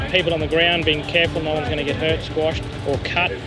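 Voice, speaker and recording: A man talks at a very fast pace with clear music in the background. The sound is dry, with no echo. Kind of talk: commentary. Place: garden.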